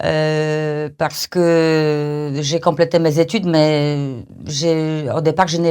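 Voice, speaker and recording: A woman with a fairly low pitch speaks on a very clean recording with a silent background. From Poland. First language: Polish (speaking French). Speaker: language training company manager. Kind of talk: podcast interview. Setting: studio. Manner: halting, many fillers.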